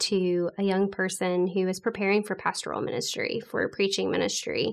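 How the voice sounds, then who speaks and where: This woman has an ordinary speaking voice at a medium pitch, talking at a moderate pace against a quiet background. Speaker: podcast co-host. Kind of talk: casual interview.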